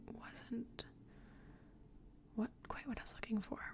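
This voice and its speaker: A woman's soft-spoken, somewhat breathy whispering at a fairly slow pace. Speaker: ASMR artist. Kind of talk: ASMR ramble. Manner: soft-spoken, whispered.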